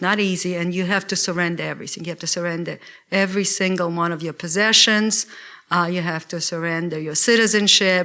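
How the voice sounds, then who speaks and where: In a Russian accent, a woman talks at a fairly quick pace with a fairly low pitch and a bright, sharp tone on a very clean recording with a silent background. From Russia (former Soviet Union). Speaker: lawyer. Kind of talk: lecture. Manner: hesitant, with fillers.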